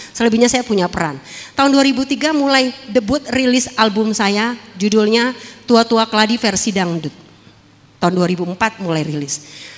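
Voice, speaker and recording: Noticeable background noise sits under fairly quick speech with lively intonation. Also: woman. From Jakarta, Tanjung Priok. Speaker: former dangdut singer and actress giving testimony. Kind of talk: testimony.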